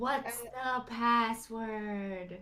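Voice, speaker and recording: A woman uses a put-on character voice. Her pitch sits fairly high. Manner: scary.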